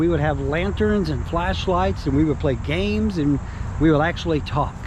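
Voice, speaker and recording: A man in an Alabama accent speaks at a moderate pace, with noticeable background noise and audible room echo. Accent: Southern US (Alabama). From US South, North Alabama. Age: 60s. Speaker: real estate / relocation video host. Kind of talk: casual vlog talk to camera. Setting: outdoors. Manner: casual, many fillers.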